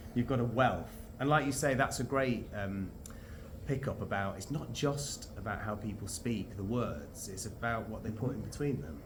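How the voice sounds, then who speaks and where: A man with a Northern English accent speaks at a moderate pace in a medium pitch, using lively intonation with vocal fry. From North of England. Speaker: actor and voice-over artist. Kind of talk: interview answer. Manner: casual, chatty.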